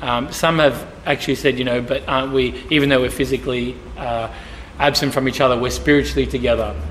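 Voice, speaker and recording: A man speaking with ordinary pitch variation over light background noise. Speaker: church pastor on panel. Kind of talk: interview answer. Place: church.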